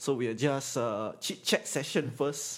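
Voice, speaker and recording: With a Singaporean accent, a man speaks at a fairly high pitch. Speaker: podcast host. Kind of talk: casual chat. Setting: live stream.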